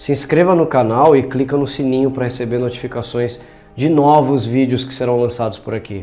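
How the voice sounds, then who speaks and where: With a Brazilian accent and fairly even intonation, a man at medium pitch talks at a fairly quick pace over background music, with audible room echo. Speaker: language teacher. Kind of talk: educational narration.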